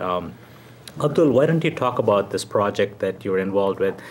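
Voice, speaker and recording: The man's voice sits fairly low in pitch, and background noise is noticeable behind it. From South India. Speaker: TV talk show host. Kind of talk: interview.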